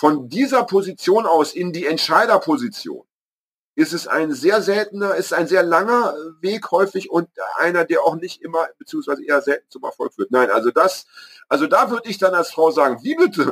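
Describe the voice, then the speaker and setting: This man's high voice swings very widely in pitch at a moderate pace. The sound is dry and close, with no echo. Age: 50s. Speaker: podcast co-host and author. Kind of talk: casual chat. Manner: halting.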